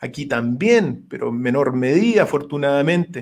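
With lively intonation and a moderate pace, a man talks over a quiet background. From Chile. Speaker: philosophy lecturer and political hopeful; philosophy lecturer. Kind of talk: radio interview. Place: home room. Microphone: webcam.

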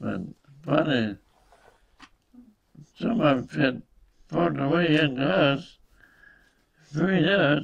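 Here is a man with an American accent, a fairly high pitch and vocal fry. He speaks very slowly with lively intonation and long, frequent pauses. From United States. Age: 80s+. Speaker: war veteran. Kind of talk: interview answer. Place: home room. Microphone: webcam.

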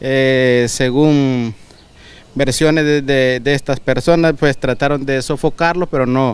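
Keeping very even loudness, a man at medium pitch talks at a fairly slow pace with fairly even intonation. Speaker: firefighter spokesperson. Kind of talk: news interview. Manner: halting.

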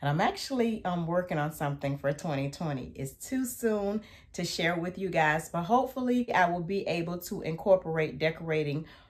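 In a quiet setting, a woman with a fairly low, somewhat breathy voice speaks with lively intonation. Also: moderate pace, hardly any pauses. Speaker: lifestyle vlogger. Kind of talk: casual vlog chat. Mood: cheerful, upbeat. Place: home room.

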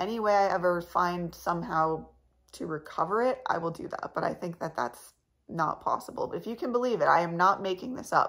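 A woman's creaky, fairly low voice with a fairly bright tone, a fairly quick pace and ordinary pitch variation

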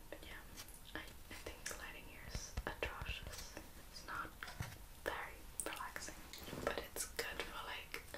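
Whispering, the woman keeps to a fairly slow pace. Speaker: vlogger. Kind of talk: soft casual vlog chat. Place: home room.

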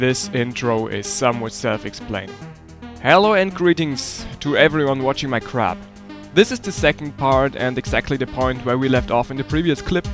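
Music plays in the background as a man at a medium pitch talks at a moderate pace with lively intonation. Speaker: gaming video creator. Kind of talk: gameplay commentary. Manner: casual, humorous.

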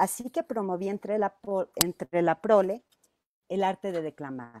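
A woman with a medium pitch and a dark, mellow tone speaks at a fairly slow pace with lively intonation, in a dry sound with no echo. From Mexico, Zacatecas. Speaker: teacher. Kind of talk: presentation. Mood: warm, reminiscing. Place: home room. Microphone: earbuds.

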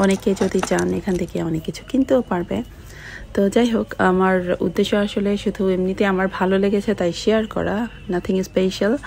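There is light background noise as a woman speaks with fairly even intonation. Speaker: vlogger. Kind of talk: casual vlog chat. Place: shop. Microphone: phone near.

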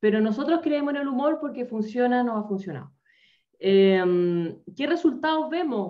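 A woman with a Chilean accent speaks at a high pitch and a moderate pace. Her pitch swings very widely over a quiet background. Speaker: humor trainer, corporate coach. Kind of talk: presentation in a webinar. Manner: animated. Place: home room. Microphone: video call.

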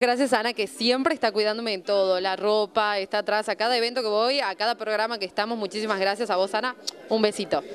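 A woman of medium pitch talks at a fast pace with few pauses and fairly even intonation.

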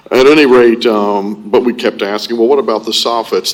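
With an American accent, a man talks at a moderate pace and fairly even intonation over noticeable background noise. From Florida, Ormond Beach. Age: 60s. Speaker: public commenter. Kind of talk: public comment at city meeting. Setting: city commission meeting. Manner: halting, many fillers.

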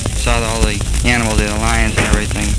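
Very fast speech with loud background noise and a dry sound with no echo. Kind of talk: personal spoken letter. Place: booth. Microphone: old recording.

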